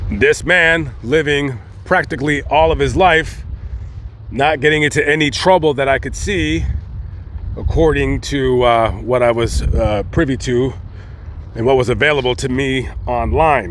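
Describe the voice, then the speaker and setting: A man talks rather unhurriedly while noticeable noise runs in the background. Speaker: cemetery vlogger. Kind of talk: casual vlog narration. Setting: outdoors in a cemetery. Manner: animated.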